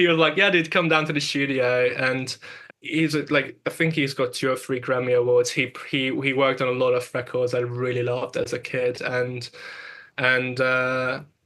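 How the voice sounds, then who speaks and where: Bright and sharp in tone, a man with a non-native accent talks at a medium pitch and a moderate pace, keeping his intonation fairly even. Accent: foreign. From Hungary. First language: Hungarian. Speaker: music producer and engineer. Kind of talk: interview. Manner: halting, many repetitions and fillers.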